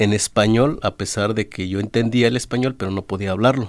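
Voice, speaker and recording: A man with fairly low pitch and fairly even intonation, on a very clean recording with a silent background. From Oaxaca, Mexico (Zapotec village, Valles del Sur). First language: Zapotec (speaking Spanish). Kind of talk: radio interview. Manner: halting, many fillers.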